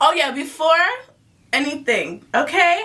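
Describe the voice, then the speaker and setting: A woman's raised, projected voice with an animated tone at a fairly slow pace, over noticeable background noise. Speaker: YouTube storyteller. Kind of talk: storytime vlog, casual chat.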